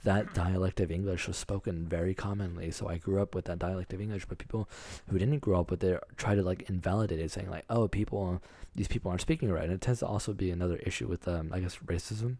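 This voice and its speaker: This man, with an American accent, talks at a very fast pace in a very deep, low pitch and a dark, mellow tone, his intonation fairly even, in a very clean recording with a silent background. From Texas. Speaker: podcast co-host. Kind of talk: casual chat. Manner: halting, many fillers.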